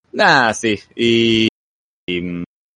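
Here a man talks at a fairly low pitch with ordinary pitch variation. The sound is dry and close, with no echo. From Argentina. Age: 20s. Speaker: anime fan guest. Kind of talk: casual chat.

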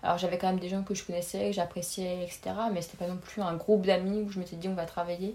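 A somewhat breathy woman at medium pitch, very fast, with monotone, flat intonation. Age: 20s. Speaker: pharmacy student. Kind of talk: casual interview.

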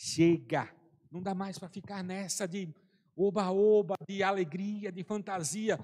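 A man with a high pitch and a dark, mellow tone speaks at a fairly slow pace. His intonation is fairly even, though his loudness swings widely. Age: 40s. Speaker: preacher. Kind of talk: sermon. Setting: church service, also streamed online.

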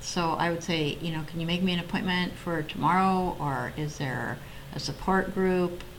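In a room with audible echo, a woman with an American accent speaks at a moderate pace and a fairly low pitch, her intonation fairly even. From US Pacific Northwest (Oregon). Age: 60s. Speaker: mental health advocate sharing personal story. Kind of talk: interview testimony.

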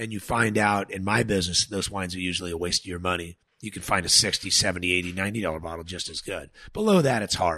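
With an American accent, a man talks at a fairly quick pace in a very deep, low pitch, his tone bright and sharp and his intonation fairly even. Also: quiet background. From Southern California (San Dimas). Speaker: winemaker and farmer. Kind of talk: casual chat.

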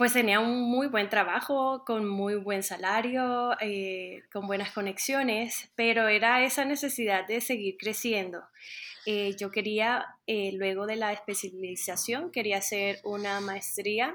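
A woman at a very slow pace, fairly high pitch with ordinary variation, very clean recording with a silent background. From Colombia, Caribbean coast (Montería). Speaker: music teacher. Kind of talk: interview. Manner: hesitant, many fillers.

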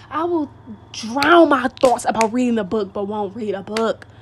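A woman's fairly high voice with lively intonation, at a moderate pace, over noticeable background noise. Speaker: podcast host. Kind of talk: casual monologue. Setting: at home by open window.

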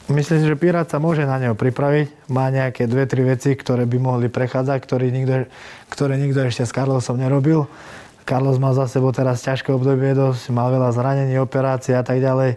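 In a dark, mellow tone, a man speaks fairly quickly at a medium pitch, his intonation flat and monotone and his loudness very even. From Slovakia. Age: 20s. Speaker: MMA fighter. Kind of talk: interview.

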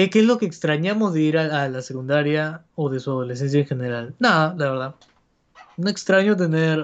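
A man speaks in an unremarkable speaking voice at a fairly high pitch. His pace is moderate and his pitch variation ordinary. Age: 20s. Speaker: podcast co-host. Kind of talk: casual chat. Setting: livestream.

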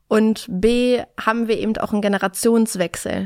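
A woman with an ordinary speaking voice talks at a moderate pace with fairly even intonation on a very clean recording with a silent background. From Berlin, Germany. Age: 30s. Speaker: recruiter. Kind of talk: interview.

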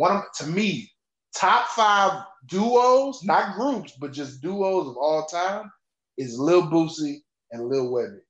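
At a very slow pace, a man with an American accent talks in a high pitch with very wide pitch swings and big swings in loudness. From Texas, Houston area. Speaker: podcast guest. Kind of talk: casual chat.

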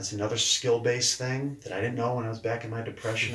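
There is audible room echo and noticeable background noise as a man talks at a medium pitch in an American accent. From New Hampshire, US. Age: 40s. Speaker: leadership coach. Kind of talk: interview. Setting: in person.

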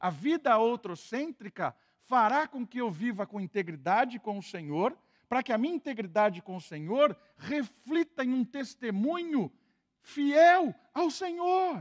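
Very wide pitch swings at a fairly slow pace, in a dry, close sound with no echo and a quiet background. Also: man, extremely high pitch for a man. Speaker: pastor. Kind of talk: sermon.

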